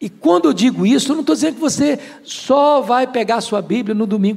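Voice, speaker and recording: A man speaks at a very fast pace. His tone is animated and his intonation lively. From Brazil, Espírito Santo. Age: 60s. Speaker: pastor. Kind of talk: sermon.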